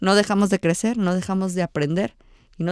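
With an unremarkable speaking voice, a woman talks at a moderate pace and medium pitch on a very clean recording with a silent background and a dry, close sound with no echo. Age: 20s. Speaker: local politician and civil engineer. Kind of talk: interview.

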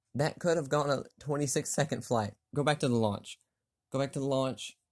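At a moderate pace, a man with a fairly high pitch and a somewhat breathy voice speaks with ordinary pitch variation on a very clean recording with a silent background. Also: long, frequent pauses. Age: 40s. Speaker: gaming podcaster. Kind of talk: casual gameplay commentary.

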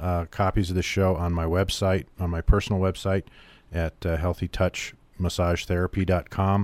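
At a moderate pace, a man with a very deep, low pitch speaks on a very clean recording with a silent background, dry and close with no echo. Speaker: radio host. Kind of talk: radio talk show hosting. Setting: radio studio.

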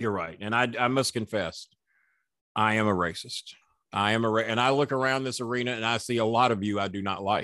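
With a bright, sharp tone and an American accent, a man speaks at a fairly quick pace and medium pitch, with fairly even intonation and long, frequent pauses. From Florida. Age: 60s. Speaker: wrestling manager. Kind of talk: casual interview with storytelling.

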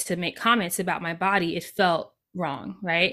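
Her voice is bright and sharp, at a medium pitch for a woman. She speaks at a moderate pace in a very clean recording with a silent background. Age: 30s. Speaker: multi-passionate creativity coach and podcaster. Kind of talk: interview conversation.

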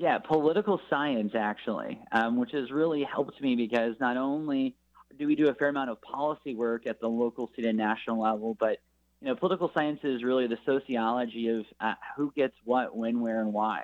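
This man has a plain, everyday voice at a medium pitch, with ordinary pitch variation. He talks at a fairly quick pace. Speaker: nonprofit spokesman. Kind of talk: radio interview.

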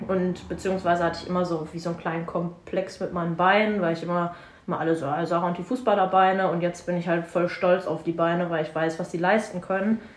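The speech races at a very fast pace with hardly any pauses, in a monotone, flat intonation over noticeable background noise. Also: woman, fairly low pitch for a woman. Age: 20s. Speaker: fitness coach. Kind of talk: casual chat.

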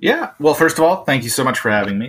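A man's voice carries lively intonation and a bright, sharp tone. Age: 30s. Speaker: comic book writer. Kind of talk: casual chat.

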